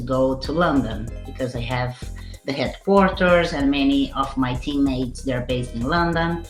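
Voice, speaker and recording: Music plays in the background as a woman with a very deep, low pitch talks at a fairly slow pace with ordinary pitch variation. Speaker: senior marketing manager, expat. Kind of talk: podcast interview answer.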